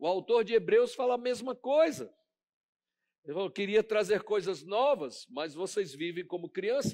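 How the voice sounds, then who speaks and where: Against a quiet background, a man talks with lively intonation. He keeps a moderate pace. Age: 50s. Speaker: pastor. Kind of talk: sermon. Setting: church. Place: church. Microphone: headset.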